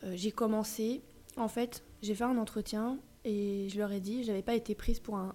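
The delivery is monotone and flat, with a dark, mellow tone. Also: woman. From Paris suburbs, Yvelines. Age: 30s. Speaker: vintage dealer. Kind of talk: casual interview. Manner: hesitant, many fillers.

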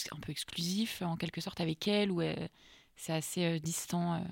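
In an ordinary speaking voice, a woman with a fairly low pitch and fairly even intonation talks at a moderate pace on a very clean recording with a silent background. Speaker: student podcast host. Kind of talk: interview.

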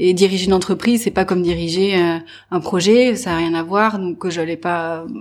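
Her medium-pitched voice keeps a fairly even intonation at a moderate pace. The recording of this woman is very clean, with a silent background. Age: 30s. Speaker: business owner. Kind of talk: interview. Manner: halting.

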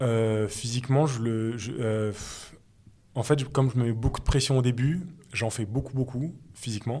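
This man's voice has a dark, mellow tone and fairly even intonation, captured on a very clean recording against a silent background. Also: medium pitch for a man, moderate pace. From Paris suburbs, Seine-et-Marne. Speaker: former rugby player turned journalist. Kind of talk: interview. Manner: halting.

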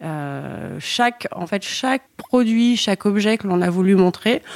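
A woman with an unremarkable speaking voice talks at a fairly slow pace and medium pitch, her sound dry and close with no echo. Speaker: brand co-founder. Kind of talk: interview.

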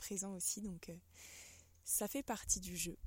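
The woman's voice is somewhat breathy. She keeps to a moderate pace. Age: 20s. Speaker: podcast host and holistic therapist. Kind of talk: solo reflective monologue. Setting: outdoors. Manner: hesitant, with fillers and repetitions.

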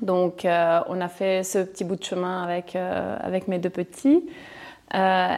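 Fairly even intonation carries a woman's fairly low-pitched voice. She speaks at a fairly slow pace. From Chile. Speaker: property investor. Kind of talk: interview. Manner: halting.

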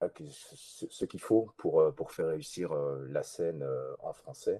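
A man speaks at a very slow pace, his voice sounding dry and close with no echo. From Belgium. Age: 30s. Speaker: voice actor. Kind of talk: interview. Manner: halting, many repeated words.

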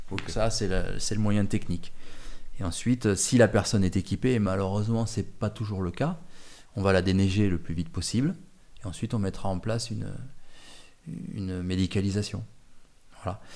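A man's fairly low, dark, mellow voice at a fairly quick pace, with ordinary pitch variation, long, frequent pauses and a very clean recording with a silent background. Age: 50s. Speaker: mountain guide and retired mountain rescue chief. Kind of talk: interview. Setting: at his home.

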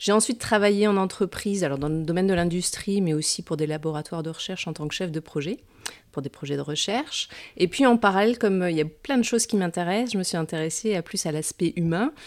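A woman talks at a very fast pace, her medium pitch showing ordinary variation. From France, Metz (Lorraine). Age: 40s. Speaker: hypnotherapist and entrepreneur. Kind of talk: interview.

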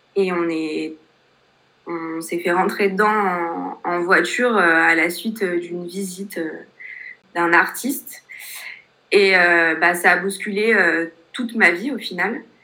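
Her bright, sharp tone sits at a fairly low pitch as this woman talks at a very slow pace, with fairly even intonation and long, frequent pauses. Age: 20s. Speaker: life coach with paraplegia. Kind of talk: interview testimony.

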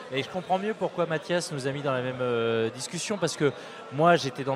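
Noticeable background noise sits behind this man. He talks at a moderate pace with a fairly high pitch. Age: 40s. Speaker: startup founder. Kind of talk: casual chat. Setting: live event with audience.

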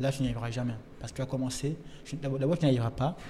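Fairly even intonation in a normal speaking voice. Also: man. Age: young. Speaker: writer. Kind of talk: casual chat. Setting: restaurant.

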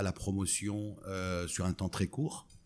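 Here a man speaks at a fairly low pitch. The recording is very clean, with a silent background. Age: 50s. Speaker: startup co-founder. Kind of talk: interview. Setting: in person at company office.

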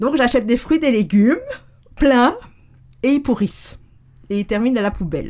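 A woman at a high pitch, lively intonation and a moderate pace, with long, frequent pauses. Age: 50s. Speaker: neuroscience and NLP coach. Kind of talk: casual interview conversation. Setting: in the host's home, sitting on a sofa in the same room.

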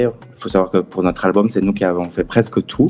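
This man speaks at a fairly quick pace in a fairly low pitch, his tone dark and mellow with ordinary pitch variation. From southern France, Perpignan. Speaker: musician and guitar teacher. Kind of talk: radio interview.

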